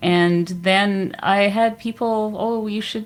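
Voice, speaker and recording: With monotone, flat intonation, a woman holds a medium pitch. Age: 60s. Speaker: YouTube creator, keto cook. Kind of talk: casual interview chat.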